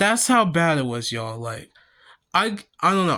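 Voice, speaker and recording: A man's high-pitched voice, bright and sharp in tone, on a very clean recording with a silent background. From Kansas and Missouri, US Midwest. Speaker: vlogger. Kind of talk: personal storytelling vlog. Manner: halting, many fillers and restarts.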